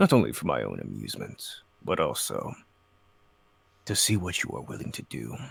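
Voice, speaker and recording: Using a put-on character voice, a man speaks at a fairly quick pace broken by long, frequent pauses. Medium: actual play. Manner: grandiose, solemn.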